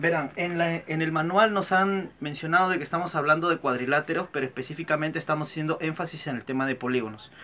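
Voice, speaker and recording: The speech runs very fast with hardly any pauses. Pitch varies in an ordinary way. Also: man, fairly high pitch for a man. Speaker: primary school teacher. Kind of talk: lesson. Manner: soft-spoken.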